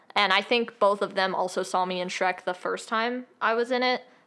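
The recording is very clean with a silent background. A woman speaks at a moderate pace in a bright, sharp tone. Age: young. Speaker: musical theatre actor and student. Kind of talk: casual chat.

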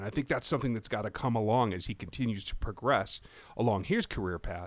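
On a very clean recording with a silent background, a man with an American accent speaks at a very fast pace. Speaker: podcast host. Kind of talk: casual chat.

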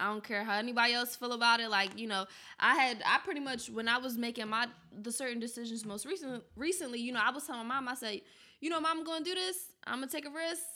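A woman's very fast, high-pitched voice in a Philadelphia accent, bright and sharp in tone, on a very clean recording with a silent background. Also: ordinary pitch variation. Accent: Philadelphia American English. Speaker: university student. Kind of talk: casual chat.

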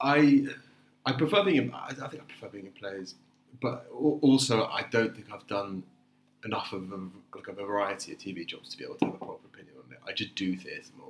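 A man talks at a fairly quick pace in a medium pitch. His pitch swings very widely and his loudness rises and falls sharply. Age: 20s. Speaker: actor. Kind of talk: casual chat. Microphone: no microphone used, laptop-quality sound.

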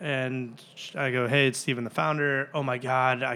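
An unremarkable speaking voice from a man, medium in pitch, moderate in pace, with fairly even intonation. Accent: American. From Chicago area (Glenview). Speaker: startup founder. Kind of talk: interview. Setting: office conference room.

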